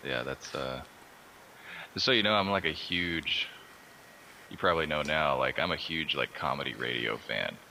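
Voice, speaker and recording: With an American accent and a very deep, low pitch, a man uses lively intonation and long, frequent pauses amid noticeable background noise. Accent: slight Texas drawl at times. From Austin, Texas. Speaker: artist. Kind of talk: casual chat. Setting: Skype group call.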